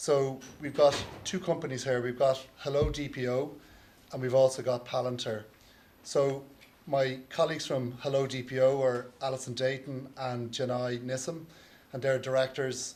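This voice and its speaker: In an Irish accent, a man of medium pitch speaks at a moderate pace with monotone, flat intonation and audible room echo. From Ireland. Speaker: lawyer moderating a conference panel. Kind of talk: conference panel introduction. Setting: conference stage with audience.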